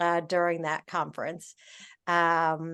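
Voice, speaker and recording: A woman speaks very slowly in a fairly low voice. The sound is dry and close with no echo, against a quiet background. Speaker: meeting host. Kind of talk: casual chat.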